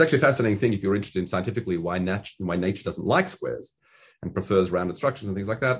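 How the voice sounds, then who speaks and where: Very fast, somewhat breathy speech with an Australian accent against a quiet background. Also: man, fairly low pitch for a man, ordinary pitch variation. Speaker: Talmud teacher. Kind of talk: lecture. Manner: halting.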